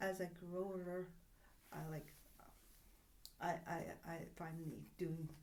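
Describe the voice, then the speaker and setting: A woman with a Greek accent speaks at a fairly slow pace in a fairly low pitch, with monotone, flat intonation. Long, frequent pauses break her speech, and room echo is audible. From Greek family background. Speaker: spiritual healer. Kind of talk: casual chat.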